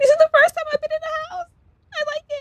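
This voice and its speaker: An extremely high-pitched, put-on character voice is heard. It moves at a very fast pace. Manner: cute.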